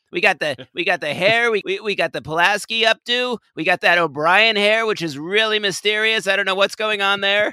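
Animated and bright with a sharp tone, a man with an American accent projects a raised voice at a high pitch, using ordinary pitch variation and a fairly quick pace with hardly any pauses, in a dry, close sound with no echo. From California. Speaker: podcast host. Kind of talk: casual comedic chat about TV episode. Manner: animated, joking.

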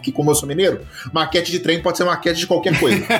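Very fast speech over music in the background. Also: man. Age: 30s. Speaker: podcast co-host. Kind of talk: casual chat.

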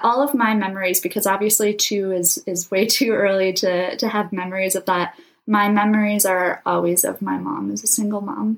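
This is a plain, everyday voice with an American accent. The pace is moderate and the pitch varies in an ordinary way. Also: woman, medium pitch for a woman. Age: 20s. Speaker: aspiring astronaut and nonprofit founder. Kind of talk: interview.

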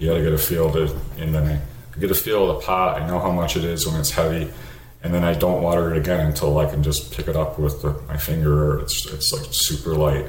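Over noticeable background noise and audible room echo, a man with an American accent and a very deep, low pitch talks at a fairly quick pace with fairly even intonation. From US Northeast. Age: 50s. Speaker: home grower. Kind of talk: interview.

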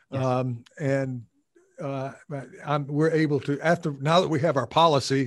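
A man with an American accent has an ordinary speaking voice at medium pitch. He goes at a fairly slow pace with fairly even intonation. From United States. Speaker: professor and podcast host. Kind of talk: casual academic conversation.

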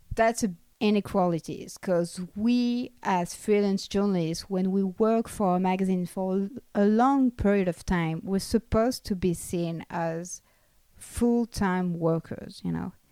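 With a French accent, a woman's medium-pitched voice has a dark, mellow tone, moving at a fairly slow pace with ordinary pitch variation. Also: very clean recording, silent background. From France. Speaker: freelance journalist. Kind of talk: interview.

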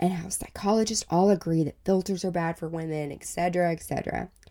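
Against a silent background, a woman is heard on a very clean recording. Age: 30s. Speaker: podcast host, body positivity advocate. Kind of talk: solo podcast monologue. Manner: animated.

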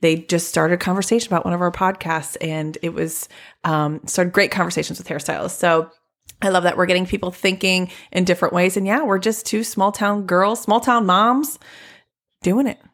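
A woman's plain, everyday voice at medium pitch, with ordinary pitch variation and a fairly quick pace, in a very clean recording with a silent background. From Ohio. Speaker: hairstylist podcast co-host. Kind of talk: casual chat.

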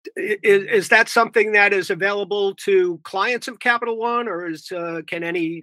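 Projecting a raised voice, a man with a New York accent speaks at a high pitch in a bright, sharp tone with hardly any pauses, in a dry, close sound with no echo. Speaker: podcast host. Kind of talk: interview.

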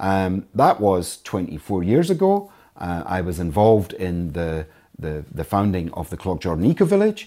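A man talks at a moderate pace with a very deep, low pitch and ordinary pitch variation. His tone is dark and mellow, and the recording is very clean with a silent background. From Scotland. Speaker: chair of a community farm. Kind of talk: interview. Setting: on location at an eco village centre.

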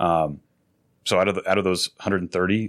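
This speaker has an American accent and fairly even intonation. The recording is very clean, with a silent background and a dry, close sound with no echo. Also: man. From Austin, Texas. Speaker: pool service business owner. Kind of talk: interview. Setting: studio.

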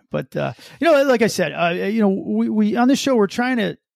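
In a very clean recording with a silent background, a man with an American accent speaks with very wide pitch swings. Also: dry, close sound with no echo. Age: 50s. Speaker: police officer, podcast host. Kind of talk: casual chat.

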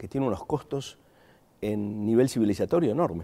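A man speaks with an Argentine accent on a very clean recording with a silent background. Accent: Argentine accent, still noticeable. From Argentina. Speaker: philosophy professor. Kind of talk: interview conversation. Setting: in person in a studio.

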